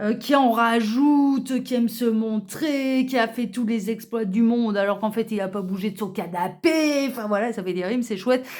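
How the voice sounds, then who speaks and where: Here a woman talks at a moderate pace. Her pitch is fairly high, with ordinary variation. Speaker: tarot card reader. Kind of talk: card reading presentation. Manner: hesitant, many fillers.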